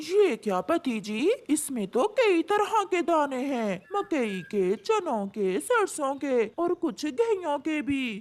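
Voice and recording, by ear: A cartoonish character voice, female-sounding and high in pitch, with very wide pitch swings, a fairly slow pace and hardly any pauses.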